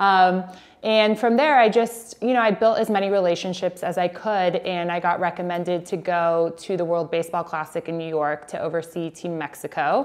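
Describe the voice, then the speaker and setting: A fairly low-pitched woman at a moderate pace, with ordinary pitch variation and hardly any pauses. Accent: Californian. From Southern California (San Diego). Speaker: sports PR executive. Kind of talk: interview monologue.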